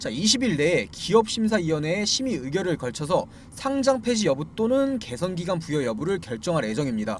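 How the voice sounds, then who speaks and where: Speaking at a moderate pace, a man with a high pitch swings very widely up and down in pitch. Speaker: stock market commentator. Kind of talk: video commentary on stock disclosures. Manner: frequent filler words and repetitions.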